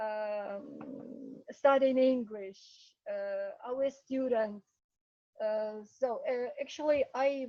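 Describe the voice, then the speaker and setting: A woman speaks very slowly in a high pitch with a Ukrainian accent. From Ukraine. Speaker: English teacher. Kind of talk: casual talk to students in online meeting.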